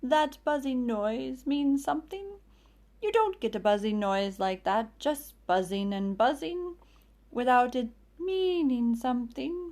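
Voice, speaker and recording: Using a put-on character voice, a woman growls at a high pitch and a fairly slow pace. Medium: read story. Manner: slow, ponderous, earnest.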